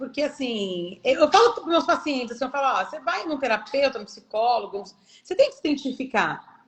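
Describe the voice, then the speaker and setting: A woman talks at a fairly quick pace, her high pitch moving in very wide swings. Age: 40s. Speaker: physiotherapist. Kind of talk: live interview. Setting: live stream.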